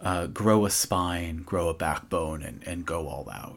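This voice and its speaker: On a very clean recording with a silent background, a woman speaks very slowly in a very deep, low pitch, with vocal fry and lively intonation. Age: 30s. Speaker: podcast host and writer. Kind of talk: scripted narration.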